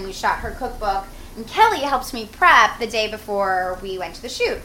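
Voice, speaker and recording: Moderate-paced speech from a woman with a fairly high pitch, set against noticeable background noise. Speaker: chef and food stylist host. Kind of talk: casual cooking show chat. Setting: home kitchen apartment.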